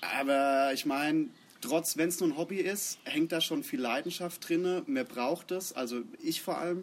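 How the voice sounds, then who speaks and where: At a fairly slow pace, a man speaks in a high pitch with very wide pitch swings. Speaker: bass player in a metal band. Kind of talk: casual interview. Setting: outdoors in a garden.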